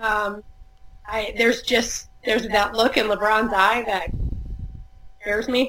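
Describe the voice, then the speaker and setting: With noticeable background noise behind her, a woman with an American accent speaks at a fairly high pitch and fairly slow pace, her intonation monotone and flat, with long, frequent pauses. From US Midwest, Chicago suburbs. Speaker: sports journalist. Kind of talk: casual chat.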